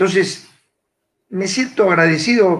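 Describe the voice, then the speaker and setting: Man with a Rioplatense accent and very wide pitch swings. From Argentina, Buenos Aires area (Morón). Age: 60s. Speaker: psychiatrist and psychoanalyst. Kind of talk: panel talk. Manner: hesitant, many fillers.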